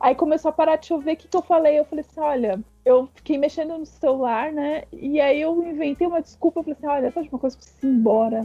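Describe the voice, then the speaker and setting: Very fast speech with hardly any pauses, big swings in loudness and ordinary pitch variation. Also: woman, high pitch for a woman. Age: 30s. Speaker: podcast guest. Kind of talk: casual chat.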